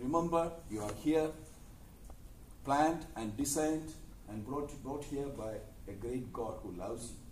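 A man at a moderate pace with ordinary pitch variation, audible room echo and light background noise. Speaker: university lecturer. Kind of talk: motivational talk to students. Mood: warm, earnest. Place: classroom. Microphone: camera far.

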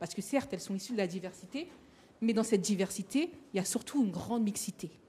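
Fairly high in pitch yet dark and mellow in tone, a woman's somewhat breathy voice moves with ordinary pitch variation. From Paris suburbs, Seine-Saint-Denis. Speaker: association founder and moderator. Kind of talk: roundtable discussion. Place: hall. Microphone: handheld.

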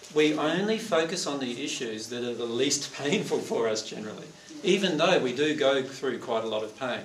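A man talks at a moderate pace amid light background noise and audible room echo. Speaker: presenter. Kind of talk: lecture to audience. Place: hall. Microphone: camera far.

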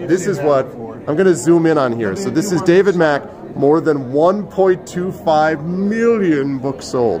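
With noticeable background noise behind him, a man with an American accent talks at a very slow pace, his intonation lively. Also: fairly high pitch for a man. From US South, South Carolina. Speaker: streamer and author interviewing authors; streamer, author interviewing authors. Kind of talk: reading aloud own fiction; casual live stream chat and interviews. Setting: live stream from a book fair on phone. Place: hall. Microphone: phone near.

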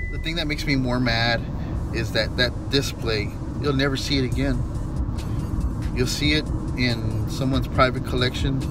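Music plays in the background as a man talks. His pace is moderate, and the sound is dry with no echo. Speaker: dumpster diving vlogger. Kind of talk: casual vlog chat. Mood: annoyed, ranting. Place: car. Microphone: phone near.

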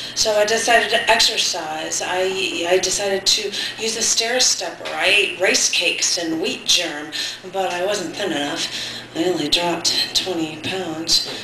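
A woman talks at a fairly slow pace with ordinary pitch variation. Light background noise and audible room echo can be heard. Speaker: poet hosting an open mic. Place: cafe. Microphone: camera far.

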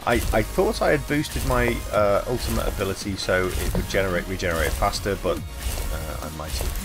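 The speech moves at a moderate pace with hardly any pauses over noticeable background noise. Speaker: gaming video creator. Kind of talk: game commentary.

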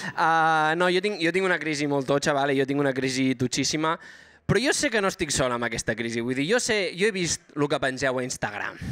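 With very even loudness, a man speaks at a fairly quick pace, his fairly high voice showing ordinary pitch variation. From Banyoles, Catalonia; Catalonia. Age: 20s. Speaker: stand-up comedian. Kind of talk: stand-up. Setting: stage with live audience. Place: stage. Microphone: handheld.

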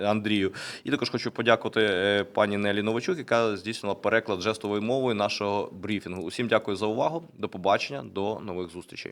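On a very clean recording with a silent background, a man with a fairly low pitch speaks very fast with ordinary pitch variation. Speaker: briefing moderator. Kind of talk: press briefing. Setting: studio. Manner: formal.

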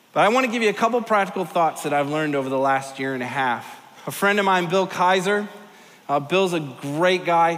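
A man speaks at a fairly quick pace with a high pitch and ordinary pitch variation. His tone is fairly bright, and the room echo is audible.

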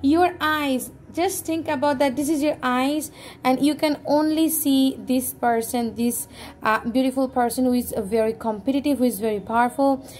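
Over light background noise, the speech moves at a moderate pace with ordinary pitch variation. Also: woman, high pitch for a woman. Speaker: tarot reader. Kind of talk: tarot reading addressed to viewers.

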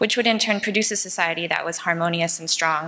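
A plain, everyday voice moves at a fairly quick pace. Its intonation stays fairly even. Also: woman. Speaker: conference presenter. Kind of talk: lecture. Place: hall. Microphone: podium.

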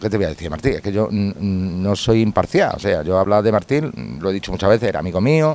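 A man talks at a fairly quick pace in a fairly low pitch with ordinary pitch variation, the sound dry with no echo. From Andalusia, Spain. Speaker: video reporter. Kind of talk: on-location interview. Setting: outdoors at a football stadium gate. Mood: warm, nostalgic about a friend. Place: street.

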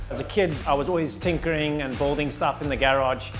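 Fairly even intonation plays over clear music in the background. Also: man. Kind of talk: interview answer. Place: workshop. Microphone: lapel.

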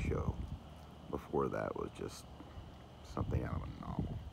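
A man speaks at a moderate pace while noticeable background noise can be heard. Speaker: vlogger sky watcher. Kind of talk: casual vlog chat. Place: open country. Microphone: phone near.

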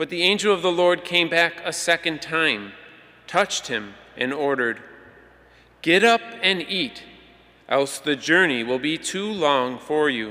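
Pausing long and often, a man speaks at a fairly slow pace with a fairly high pitch and lively intonation. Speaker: lector. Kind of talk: reading aloud. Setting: church. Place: church. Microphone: podium.

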